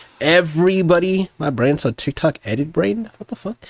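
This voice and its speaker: The loud, animated voice has a dry, close sound with no echo. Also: man. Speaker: music producer streamer. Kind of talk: casual livestream chat. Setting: livestream.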